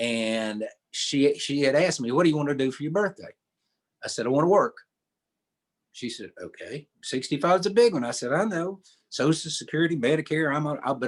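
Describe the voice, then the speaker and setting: Talking at a fairly quick pace, a man uses an Appalachian accent. His intonation is lively. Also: big swings in loudness. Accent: Southern Appalachian US. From East Tennessee. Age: 70s. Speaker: storyteller and songwriter. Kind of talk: radio interview; storytelling. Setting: radio studio.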